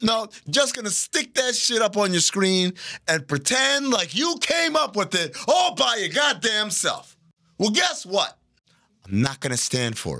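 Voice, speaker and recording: A man projects a raised voice at a high pitch with a bright, sharp tone. His delivery is animated, with very wide pitch swings. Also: fairly slow pace. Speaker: podcast host. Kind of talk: stand-up style comedic riffing. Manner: animated, sarcastic.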